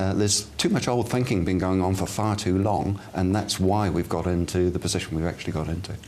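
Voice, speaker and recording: A man with a very deep, low pitch and a slight English accent, fairly quick, very even in loudness, with fairly even intonation over noticeable background noise. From England, Bath. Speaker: mayoral candidate. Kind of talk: TV interview.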